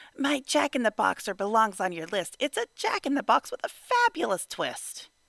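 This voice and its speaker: A put-on character voice sits at a fairly high pitch. The pace is moderate. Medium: read story.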